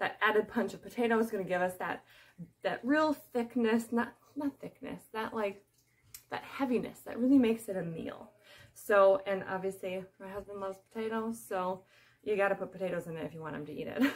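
The delivery is fairly quick, with ordinary pitch variation. Loudness swings in big jumps. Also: woman. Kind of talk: cooking tutorial. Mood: friendly, chatty. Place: kitchen. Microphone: phone near.

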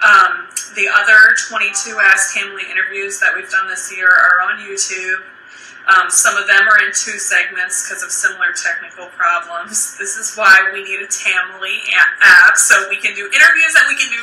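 The speech moves at a moderate pace with big swings in loudness. Room echo is audible. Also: woman. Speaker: fitness live streamer. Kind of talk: casual live stream chat. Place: home room. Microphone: phone near.

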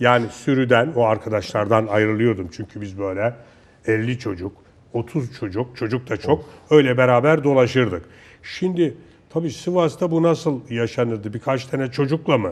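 Over a quiet background, a man with an ordinary speaking voice talks at a moderate pace and medium pitch, his intonation lively. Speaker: TV show host. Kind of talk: casual interview chat. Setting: studio.

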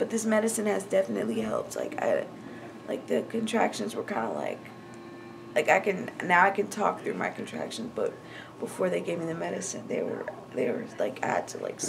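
Noticeable background noise runs beneath a woman talking at a fairly quick pace. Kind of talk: casual vlog chat. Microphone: phone near.

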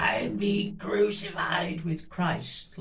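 Putting on a strained character voice, a man speaks high with ordinary pitch variation over light background noise. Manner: intense, anguished.

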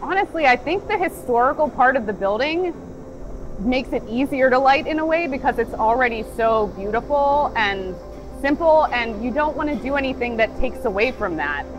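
Over clear music in the background, a woman speaks in a high pitch. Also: moderate pace. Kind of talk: interview answer. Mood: calm, thoughtful. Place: factory. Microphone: lapel.

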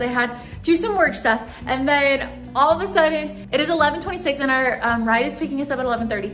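A woman speaks in a high voice with ordinary pitch variation. Faint music plays in the background. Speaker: vlogger. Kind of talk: casual vlog chat. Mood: rushed, stressed but excited. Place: home room. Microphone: phone near.

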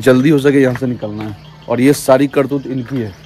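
A man speaks with fairly even intonation. The sound is dry with no echo, with light background noise. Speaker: travel vlogger. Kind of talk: casual vlog chat. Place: open country.

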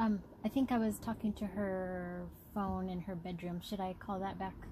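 A woman speaks at a moderate pace with fairly even intonation against light background noise. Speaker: adult child calling mother. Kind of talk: casual phone conversation.

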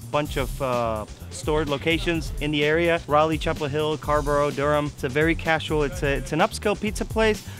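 At a fairly quick pace and with hardly any pauses, a man talks in a dry sound with no echo while clear music plays in the background. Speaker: show host. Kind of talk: restaurant review to camera. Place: street.

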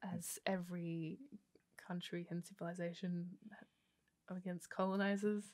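In an Australian accent, a woman speaks at a moderate pace with a fairly low pitch, monotone, flat intonation and long, frequent pauses against a quiet background. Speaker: podcast co-host and theatre maker. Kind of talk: casual chat. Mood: animated, opinionated. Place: studio. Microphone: studio mic.

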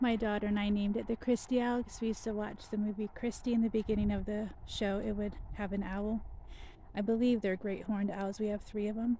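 Over light background noise, a woman speaks very fast in a dark, mellow, somewhat breathy voice with monotone, flat intonation. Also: dry sound with no echo. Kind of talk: casual vlog chat. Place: garden. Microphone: phone near.

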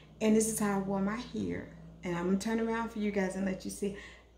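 A woman talks at a fast pace with a dark, mellow tone, medium pitch, fairly even intonation and vocal fry.

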